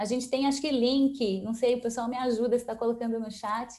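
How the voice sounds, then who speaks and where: Fairly high-pitched yet dark and mellow in tone, a woman's voice holds a monotone, flat intonation. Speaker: event host and founder of a collaboration organization. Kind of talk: closing remarks at online event. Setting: online video event.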